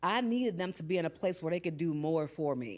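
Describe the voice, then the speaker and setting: With music in the background, a woman speaks in an animated tone with lively intonation. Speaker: podcast host. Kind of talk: casual monologue. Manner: loud.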